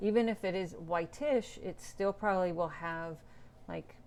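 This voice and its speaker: Soft-spoken and mumbling, a woman talks at a fairly slow pace in a fairly low pitch. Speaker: painter and art teacher. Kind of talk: live painting demo. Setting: Instagram live stream. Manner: quiet, soft-spoken.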